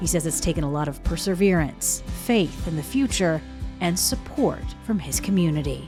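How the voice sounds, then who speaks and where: With music in the background, the woman talks at a moderate pace. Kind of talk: TV news feature narration.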